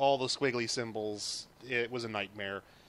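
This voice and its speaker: The man's intonation stays monotone and flat. He talks at a moderate pace. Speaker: video game streamer. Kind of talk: tutorial. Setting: live stream. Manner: soft-spoken; hesitant, many fillers.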